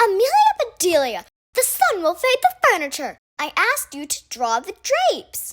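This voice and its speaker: A woman puts on a character voice at an extremely high pitch, raised and projected. Her pitch swings very widely as she keeps a moderate pace. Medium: read story.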